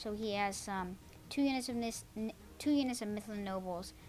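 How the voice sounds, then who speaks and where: A woman speaks at a medium pitch with fairly even intonation. Music plays in the background, and there is audible room echo. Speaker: gaming video commentator. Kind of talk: game replay commentary. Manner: fast; hesitant, many fillers.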